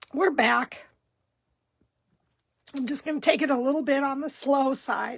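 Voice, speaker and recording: Putting on a character voice, a woman speaks high-pitched, raspy and hoarse, at a moderate pace with fairly even intonation and long, frequent pauses. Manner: slow, careful.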